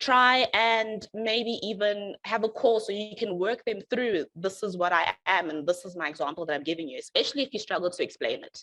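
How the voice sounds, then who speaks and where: Her tone is bright and sharp, and this woman talks at a fairly quick pace with medium pitch and ordinary pitch variation. Loudness swings widely, and the sound is dry and close with no echo. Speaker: software developer. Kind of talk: presentation. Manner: fast.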